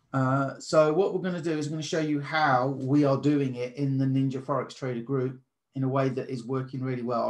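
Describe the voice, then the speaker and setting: A man speaks with a British accent at a medium pitch. His intonation stays fairly even. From Britain. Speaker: trading course presenter. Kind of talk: presentation. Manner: casual.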